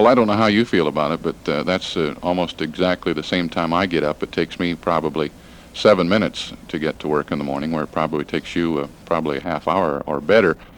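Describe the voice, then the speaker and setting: At a very fast pace and with hardly any pauses, a man speaks in a very deep, low voice with ordinary pitch variation. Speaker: radio news director and interviewer. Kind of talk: radio interview questions.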